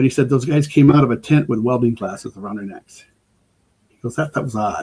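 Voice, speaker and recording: A man talks fairly quickly in a medium-pitched, dark, mellow tone with ordinary pitch variation. His loudness swings widely. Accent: American. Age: 60s. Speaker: emergency preparedness expert. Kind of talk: casual chat. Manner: halting, many repeated words.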